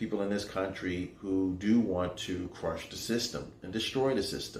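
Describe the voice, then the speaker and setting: Audible room echo surrounds a man with a New York accent who speaks at a fairly slow pace in a fairly low pitch. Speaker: faith show host and motivational speaker. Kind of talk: inspirational monologue.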